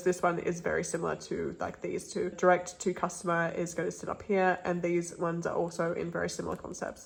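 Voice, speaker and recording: Her voice fairly low and marked by vocal fry, a woman speaks at a fairly quick pace in a monotone, flat way. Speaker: K-pop photocard collector vlogger. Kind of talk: casual vlog. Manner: fast.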